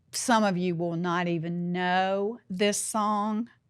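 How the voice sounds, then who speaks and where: In a very clean recording with a silent background, a woman speaks very slowly. Her pitch is medium. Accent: Southern US. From US South. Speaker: podcast host. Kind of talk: podcast storytelling and closing remarks. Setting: studio.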